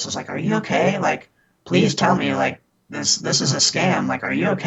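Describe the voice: A man speaks at a fairly slow pace in a put-on character voice. His delivery is raspy.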